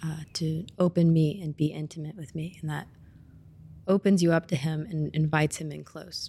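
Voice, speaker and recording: A woman in an American accent with a very deep, low pitch, a dark, mellow tone, somewhat breathy, monotone and flat in intonation, with big swings in loudness. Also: moderate pace. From US Midwest (Springfield, Missouri). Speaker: student, former ministry intern. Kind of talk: casual interview testimony.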